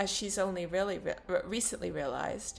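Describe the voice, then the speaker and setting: Speaking at a moderate pace, a woman with a bright, sharp tone shows vocal fry. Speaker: profile writer and narrator. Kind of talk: reading a written personal profile.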